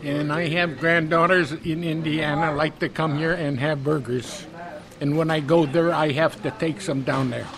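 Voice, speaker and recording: The speaker talks at a moderate pace with an American accent and fairly even intonation. Noticeable background noise runs underneath. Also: man, fairly high pitch for a man. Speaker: restaurant customer. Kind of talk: interview.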